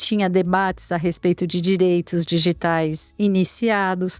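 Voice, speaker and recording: Her voice fairly low, a woman speaks at a fairly slow pace with monotone, flat intonation. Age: 60s. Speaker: lawyer, digital rights expert. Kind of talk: interview. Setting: studio at a conference. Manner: halting, many repetitions.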